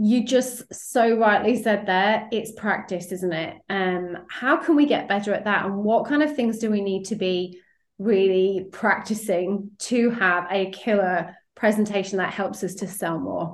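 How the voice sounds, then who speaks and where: A woman speaks in an unremarkable speaking voice at a medium pitch. Her pace is fairly slow and her pitch varies in an ordinary way. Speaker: sales coach and podcast host. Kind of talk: podcast interview, intro and outro.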